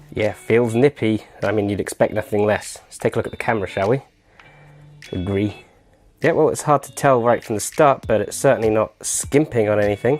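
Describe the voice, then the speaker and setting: Over background music, a man with a British accent and a medium pitch speaks fairly quickly, his loudness swinging widely and his pitch varying in an ordinary way. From UK. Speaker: tech reviewer. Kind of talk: unboxing commentary. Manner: casual, chatty.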